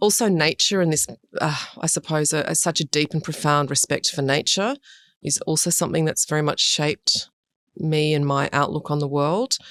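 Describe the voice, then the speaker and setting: A woman's very deep, low voice at very even loudness, in a dry, close sound with no echo and a very clean recording with a silent background. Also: ordinary pitch variation, moderate pace. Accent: Australian. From Sydney, Australia. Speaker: urban design director. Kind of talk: interview.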